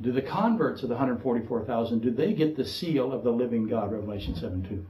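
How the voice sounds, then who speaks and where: At a moderate pace, a man with a dark, mellow, somewhat breathy tone talks at a medium pitch with ordinary pitch variation, and audible room echo surrounds him. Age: 60s. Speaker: pastor. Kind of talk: sermon.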